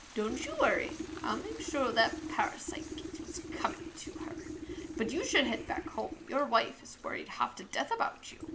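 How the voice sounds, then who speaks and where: Against clear background noise, a female-sounding voice in a put-on character voice speaks at a moderate pace with an extremely high pitch. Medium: game stream. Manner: brisk, prim and sardonic.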